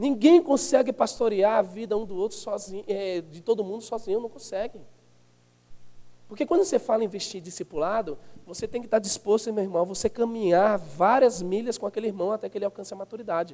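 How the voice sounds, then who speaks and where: A man's dark, mellow voice, high-pitched and very fast, with big swings in loudness. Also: ordinary pitch variation. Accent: northeastern Brazilian. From Northeast Brazil. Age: 30s. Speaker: pastor. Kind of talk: sermon. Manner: animated.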